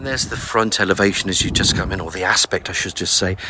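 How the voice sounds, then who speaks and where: Noticeable background noise sits behind a man talking fairly quickly at a fairly low pitch with ordinary pitch variation. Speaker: estate agent. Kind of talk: property tour walkthrough. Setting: outdoors. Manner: casual, filler-heavy; whispering.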